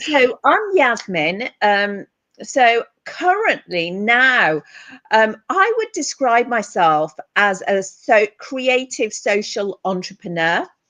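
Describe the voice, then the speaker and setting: Speaking with a British accent, a woman goes at a very slow pace in a fairly high pitch. Her pitch swings very widely. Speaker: therapist and counsellor. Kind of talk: casual interview chat.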